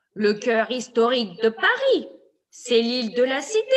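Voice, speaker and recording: A woman puts on a high-pitched character voice. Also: moderate pace. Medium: read story. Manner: knowing, explanatory.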